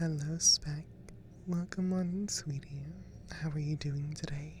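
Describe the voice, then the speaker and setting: The speaker is soft-spoken. The delivery is fairly slow. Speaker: ASMR streamer. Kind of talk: casual chat. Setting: live stream.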